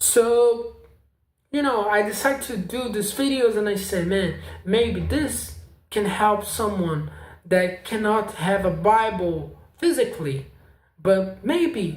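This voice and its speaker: Very slow, high-pitched male speech with lively intonation and a non-native accent, plus audible room echo. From South America. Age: 20s. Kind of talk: casual vlog testimony. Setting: home apartment. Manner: halting.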